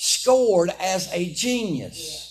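A man is speaking. He has a Southern US accent. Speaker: preacher. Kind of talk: sermon. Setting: church. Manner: animated.

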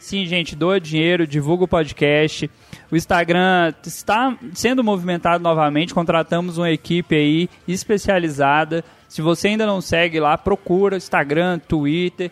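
Recorded with a dry, close sound and no echo, a man with a high pitch and ordinary pitch variation speaks at a fairly slow pace. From Brazil, Goiás. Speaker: podcast host. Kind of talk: casual chat. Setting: home room.

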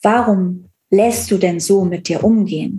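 Her pitch is medium and her intonation fairly even. The woman speaks at a very slow pace. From Cologne area, western Germany. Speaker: relationship coach. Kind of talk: personal testimony in interview.

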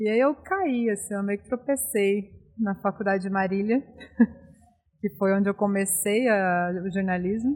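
A somewhat breathy woman's voice, dark and mellow, at medium pitch, with fairly even intonation and a moderate pace. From interior of São Paulo state, Brazil. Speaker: beer hunter and former journalist. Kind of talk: casual interview chat.

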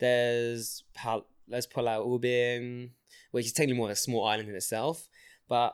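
Recorded very cleanly over a silent background, a man talks at a moderate pace and medium pitch with monotone, flat intonation. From London, England. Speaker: podcast guest. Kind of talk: casual chat. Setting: studio. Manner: halting.

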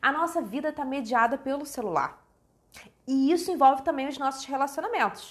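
The delivery is animated and fairly quick. Pitch varies in an ordinary way. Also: woman, high pitch for a woman. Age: 30s. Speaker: author. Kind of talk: casual chat. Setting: livestream.

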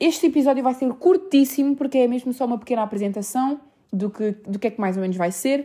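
A woman's high-pitched voice with a dark, mellow tone and a European Portuguese accent, lively in intonation, at a fairly quick pace with hardly any pauses. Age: 20s. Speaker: podcast host. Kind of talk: casual monologue.

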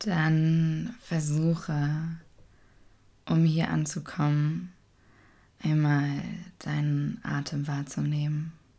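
Very slow with long, frequent pauses, a woman speaks at a very deep, low pitch in a dark, mellow, calm, soothing tone with fairly even intonation. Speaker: meditation teacher. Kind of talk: guided meditation, gentle and unhurried, addressing listener as "du". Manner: slow, soft-spoken, calm and soothing with long pauses.

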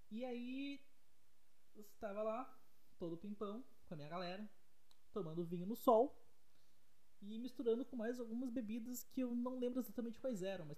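A man speaks in a high voice, with audible echo from the room. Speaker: podcaster. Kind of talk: casual monologue. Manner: fast.

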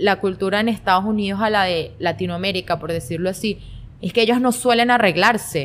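Here is a woman with a plain, everyday voice at a medium pitch. She keeps a moderate pace with ordinary pitch variation. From Venezuela, Guanare. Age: 20s. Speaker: fashion content creator. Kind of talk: casual interview chat.

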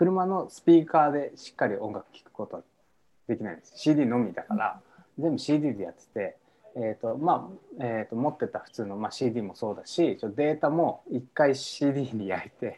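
With a dark, mellow tone and a fairly high pitch, a man speaks at a moderate pace, using lively intonation and big swings in loudness. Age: 30s. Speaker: musician. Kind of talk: casual chat. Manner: halting, many fillers.

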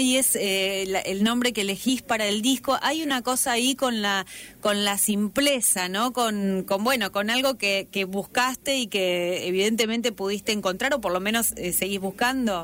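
A woman speaks in an unremarkable speaking voice at a fairly high pitch. Her pace is fairly slow, with ordinary pitch variation. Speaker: radio interviewer. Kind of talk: interview.

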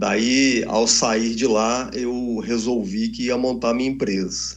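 A man speaks at a very slow pace, and there is audible room echo. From Brasília, Brazil. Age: 50s. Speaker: entrepreneur and party official. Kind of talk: interview.

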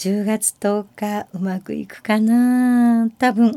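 A somewhat breathy voice with a dark, mellow tone. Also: woman. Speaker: podcast host, amateur singer-pianist. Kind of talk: casual monologue.

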